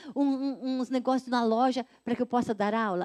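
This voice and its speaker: A woman's high voice with a dark, mellow tone, monotone, flat intonation and a moderate pace, in a dry, close sound with no echo on a very clean recording with a silent background. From São Paulo, Brazil. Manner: prayerful, earnest.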